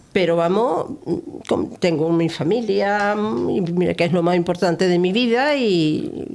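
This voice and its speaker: With lively intonation and very even loudness, a woman at a medium pitch speaks at a very slow pace. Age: 80s+. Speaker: local community volunteer. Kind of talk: interview.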